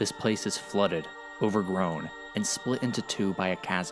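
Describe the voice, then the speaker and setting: A man talks at a fairly low pitch and a fairly slow pace. Music is audible behind him. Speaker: storyteller. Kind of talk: video game lore narration.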